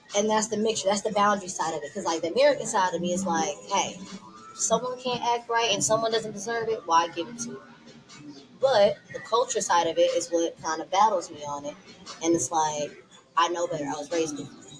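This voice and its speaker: Over music in the background, a woman talks at a very fast pace and medium pitch, with lively intonation and big swings in loudness. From Texas, Dallas. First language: Tigrinya. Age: 20s. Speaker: podcast guest. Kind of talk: casual chat.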